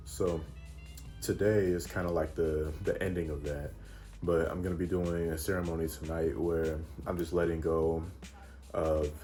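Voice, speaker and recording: A soft-spoken man talks in a very deep, low pitch with fairly even intonation. Music plays in the background, and room echo is audible. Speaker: travel vlogger. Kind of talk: casual vlog talk. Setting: in a car. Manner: quiet, reserved.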